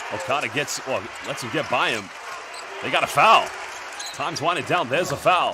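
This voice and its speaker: A man with an American accent and a high pitch, fairly quick in pace yet with long, frequent pauses, animated in tone and lively in intonation, over noticeable background noise. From England, with some years in the USA. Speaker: basketball commentator. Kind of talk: live commentary.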